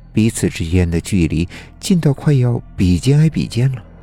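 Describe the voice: The speaker is doing plain reading aloud. The words come out as read from a page.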